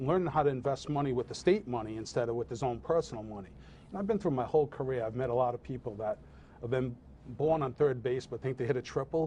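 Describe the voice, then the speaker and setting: A man talks at a fairly quick pace in a dark, mellow tone that is somewhat breathy. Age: 50s. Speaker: political candidate. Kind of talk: interview.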